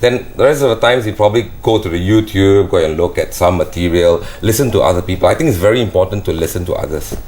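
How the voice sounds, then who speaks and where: A man rattles along at a very fast pace with hardly any pauses, over noticeable background noise. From Malaysia, Johor Bahru. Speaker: professional entertainer and singer. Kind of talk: interview. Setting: studio. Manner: casual, relaxed.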